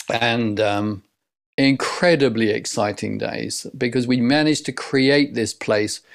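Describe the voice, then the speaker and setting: On a very clean recording with a silent background, a man with a southern English accent and medium pitch talks at a fairly slow pace. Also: ordinary pitch variation. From Essex, England. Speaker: leadership coach. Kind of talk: interview.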